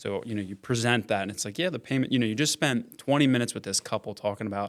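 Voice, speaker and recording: A man with a Central Pennsylvania accent talks at a very fast pace, his medium pitch showing ordinary pitch variation. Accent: Central Pennsylvania American. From Pennsylvania, York County. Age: 30s. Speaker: real estate investor. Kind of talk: podcast interview.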